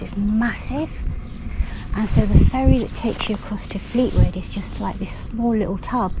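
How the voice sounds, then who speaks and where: In a room with audible echo and noticeable background noise, a woman talks at a moderate pace in a medium pitch with fairly even intonation. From London. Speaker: horse rider vlogger. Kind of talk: casual vlog narration. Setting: outdoors.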